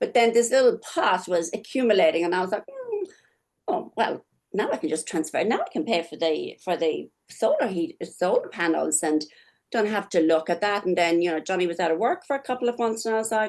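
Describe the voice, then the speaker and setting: A woman's medium-pitched, unremarkable speaking voice, lively in intonation and at a fairly quick pace. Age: 60s. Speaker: nurse and product consultant. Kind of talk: casual chat.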